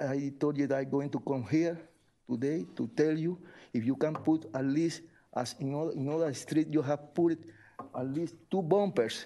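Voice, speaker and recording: A man speaks at a moderate pace with a fairly high pitch and ordinary pitch variation. His tone is dark and mellow. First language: Spanish. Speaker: resident making public comment. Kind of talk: public comment at city meeting. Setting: city commission meeting. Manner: halting.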